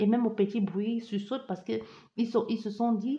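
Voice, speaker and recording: A woman's fairly high, somewhat breathy voice at a very fast pace. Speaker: tarot card reader. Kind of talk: psychic reading. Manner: barely pausing for breath.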